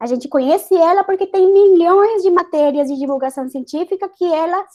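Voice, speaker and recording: With a Spanish accent, a woman talks at a moderate pace in a dark, mellow tone. Her pitch is extremely high, with ordinary pitch variation. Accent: Spanish accent in Portuguese, noticeable. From Colombia, Bogotá. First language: Spanish (speaking Portuguese). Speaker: chemical engineer and science communicator. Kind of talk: panel discussion.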